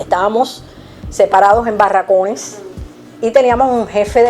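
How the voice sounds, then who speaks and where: A woman speaks in a Cuban accent with ordinary pitch variation. Noticeable background noise is present. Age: 70s. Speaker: retired teacher and volunteer literacy teacher. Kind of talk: testimony.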